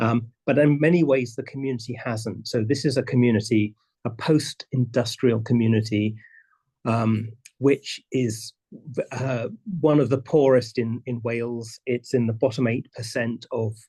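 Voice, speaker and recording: A man's somewhat breathy voice with a dark, mellow tone, medium pitch, fairly even intonation and a moderate pace. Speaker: presenter on community land stewardship. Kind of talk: conference presentation. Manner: halting, many repetitions.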